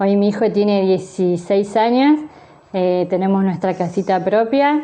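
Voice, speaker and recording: A woman speaks in a normal speaking voice at a fairly slow pace. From Argentina, Buenos Aires province (San Isidro). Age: 30s. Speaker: sign language interpreter and teacher. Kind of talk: interview.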